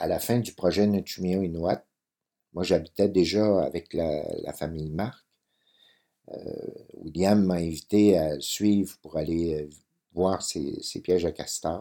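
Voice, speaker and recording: The pace is very slow, broken by long, frequent pauses. Intonation stays fairly even. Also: man, very deep, low pitch for a man. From Quebec, Lac-Saint-Jean. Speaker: photographer. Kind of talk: interview. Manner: hesitant, many fillers and repetitions.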